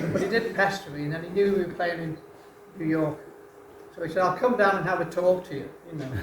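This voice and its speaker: Speaking in a Liverpool accent, a high-pitched man talks very fast with fairly even intonation yet leaves long, frequent pauses, amid audible room echo and noticeable background noise. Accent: Liverpool (Scouse). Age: 80s+. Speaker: retired rock drummer. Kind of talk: onstage conversation.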